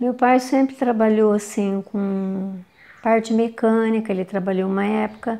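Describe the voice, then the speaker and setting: Dark, mellow-toned woman with a fairly high pitch, fairly even intonation and a fairly slow pace. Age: 60s. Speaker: daughter of the truck driver, interviewee. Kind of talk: interview testimony.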